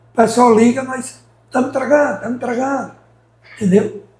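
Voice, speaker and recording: A man speaks in an animated tone. His pitch is extremely high, with ordinary pitch variation. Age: 60s. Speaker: shop owner, businessman. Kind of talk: interview. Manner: animated, repetitive.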